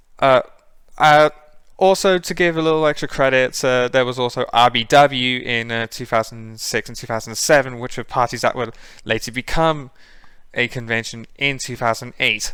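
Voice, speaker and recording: A man at a moderate pace, medium in pitch, with ordinary pitch variation. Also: big swings in loudness. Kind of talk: presentation talk re-recorded. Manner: hesitant, many filler words.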